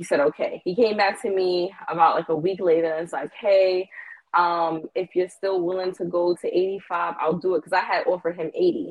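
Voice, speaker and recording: A woman with a plain, everyday voice speaks at a fairly quick pace, her medium pitch held in fairly even intonation. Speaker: caller. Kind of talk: casual chat. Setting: phone call.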